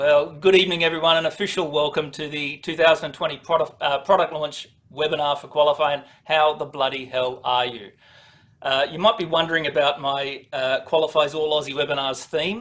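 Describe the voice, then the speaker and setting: A man with an Australian accent, fairly high-pitched and fairly quick, his intonation fairly even but with big swings in loudness. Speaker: product presenter for dealers. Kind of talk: webinar presentation. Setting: online webinar.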